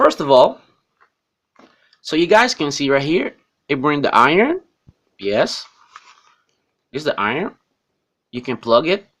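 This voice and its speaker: A man with a non-native accent and a fairly high pitch talks at a fairly slow pace, using lively intonation and long, frequent pauses. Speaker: tech reviewer. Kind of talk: unboxing tutorial. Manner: halting.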